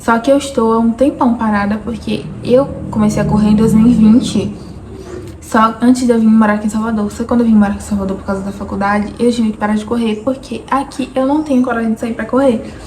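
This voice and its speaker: Against noticeable background noise, a woman with a fairly high pitch speaks very fast and with fairly even intonation. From Bahia interior, Brazil. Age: 20s. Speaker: vlogger. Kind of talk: personal vlog monologue.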